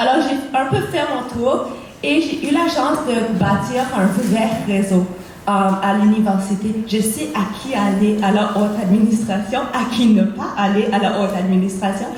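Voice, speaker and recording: A woman's medium-pitched voice at a fairly slow pace, ordinary pitch variation, noticeable background noise and audible room echo. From Cape Breton, Nova Scotia, Canada. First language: English (speaking French). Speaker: student election candidate. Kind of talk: campaign debate speech.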